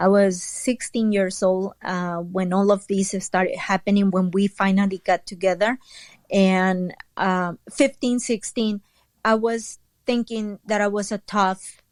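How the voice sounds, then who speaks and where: A woman with a Spanish accent speaks at a medium pitch and a fairly slow pace, her intonation fairly even, in a dry, close sound with no echo on a very clean recording with a silent background. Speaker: entrepreneur and author. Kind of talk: interview testimony. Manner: hesitant, many fillers.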